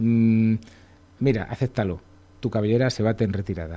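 The tone is dark and mellow. A man delivers his words at a moderate pace. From Segovia, Spain; Spain. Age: 40s. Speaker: illustrator; radio guest. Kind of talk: radio interview. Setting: radio studio. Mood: humorous, self-deprecating. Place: studio. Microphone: studio mic.

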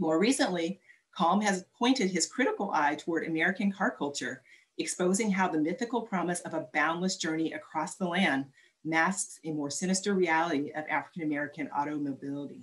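A woman with a plain, everyday voice, fairly low in pitch, with ordinary pitch variation at a fairly quick pace. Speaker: arts organization board president. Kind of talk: formal introduction. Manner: warm, welcoming.

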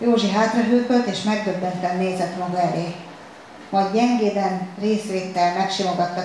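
What is heard is plain reading aloud.

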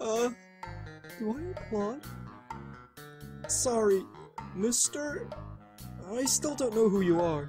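Using a put-on character voice, a female-sounding speaker at medium pitch talks at a very slow pace with long, frequent pauses while clear music plays in the background. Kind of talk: fan comic dub voice acting. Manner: bright, earnest, enthusiastic.

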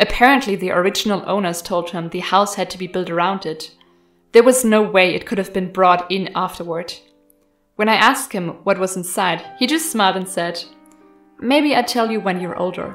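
A woman talks at a moderate pace, her pitch medium and her pitch variation ordinary. Music can be heard behind her. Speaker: horror story narrator. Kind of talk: horror story narration.

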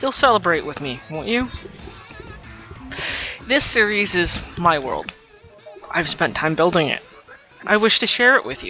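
Moderately paced talk over background music. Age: 30s. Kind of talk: contest announcement to viewers.

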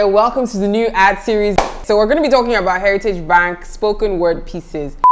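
A woman at medium pitch speaks at a fairly quick pace with ordinary pitch variation and an upbeat tone. Noticeable background noise sits behind her. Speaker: YouTube reviewer. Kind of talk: casual talk to camera. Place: home room.

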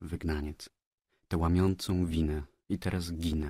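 Very clean with a silent background and a dry, close sound with no echo, a man speaks in a solemn, dramatic tone at a very deep, low pitch with monotone, flat intonation. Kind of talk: literary audiobook reading of a poem. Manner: solemn, dramatic, slow declamation; grave, tragic, intoned like a prayer.

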